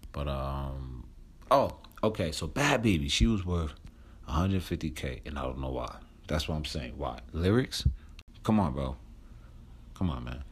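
A man's very deep, low voice in an American accent, animated and lively in intonation, with vocal fry, a moderate pace, and long, frequent pauses. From New Jersey. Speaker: podcast host. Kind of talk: casual chat. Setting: outdoors on a porch.

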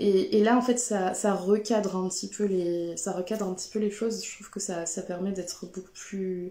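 Fairly even intonation at a moderate pace. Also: woman. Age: 30s. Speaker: textile craft maker. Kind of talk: live stream talk. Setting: Instagram/Facebook live. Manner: hesitant, many fillers.

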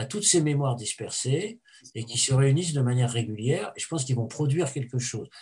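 His voice carries some breathiness. The man's intonation is lively. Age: 70s. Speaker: historian. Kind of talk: interview. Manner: halting.

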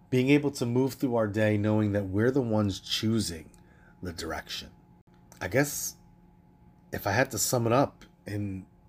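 Over a very clean recording with a silent background, a man speaks at a fairly slow pace with a fairly low pitch and ordinary pitch variation. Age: 40s. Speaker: podcast host and wellness coach. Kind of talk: casual solo monologue.

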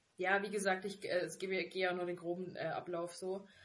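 A woman speaks at a moderate pace. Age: 20s. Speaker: podcast co-host. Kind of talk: casual chat. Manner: animated.

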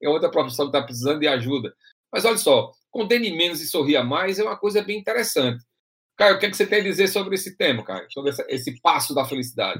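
At a very fast pace, a man talks in a high pitch with very wide pitch swings. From Brazil, interior of Rio Grande do Norte (Açu). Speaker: podcast host. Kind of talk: casual discussion podcast. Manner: halting, frequent repetitions.

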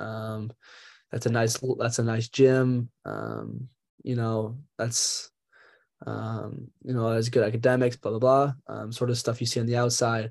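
With an American accent, a man speaks at a moderate pace and medium pitch, his tone dark and mellow and his intonation flat and monotone. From Minnesota. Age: young. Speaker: college athlete. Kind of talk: interview. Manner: halting.

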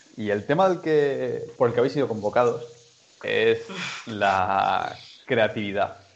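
With noticeable background noise, a man talks at a fairly slow pace, leaving long, frequent pauses. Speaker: movement coach. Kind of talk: group discussion moderation. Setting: video call.

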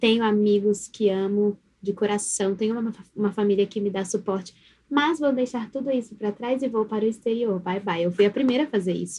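A woman's somewhat breathy, dark, mellow tone at medium pitch, fairly quick in pace and fairly even in intonation. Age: 20s. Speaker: guest. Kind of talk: casual chat.

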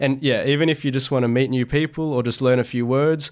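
In an Australian accent, a man talks at a fairly quick pace with fairly even intonation. The recording is very clean, with a silent background. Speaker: club academic coordinator, student. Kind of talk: casual interview.

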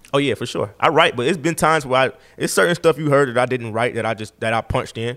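Someone with an Atlanta accent speaks at a very fast pace on a very clean recording with a silent background. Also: man, medium pitch for a man, ordinary pitch variation. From Atlanta, US South. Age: 20s. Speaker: rapper. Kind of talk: casual interview chat.

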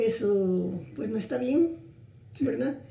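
Very slow speech from a woman at medium pitch, with very wide pitch swings and audible room echo. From Guatemala, Suchitepéquez. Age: 80s+. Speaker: grandmotherly family friend. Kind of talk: interview conversation.

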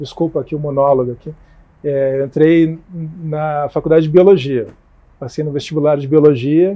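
Here a man speaks at a moderate pace. His pitch sits fairly high. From Curitiba, southern Brazil. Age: 40s. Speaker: politician. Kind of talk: casual interview.

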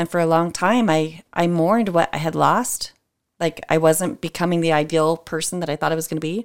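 A woman speaks at a fairly quick pace in a fairly low pitch, with an unremarkable speaking voice. The recording is very clean, with a silent background. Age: 40s. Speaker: entrepreneur and mother of eight. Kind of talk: casual chat.

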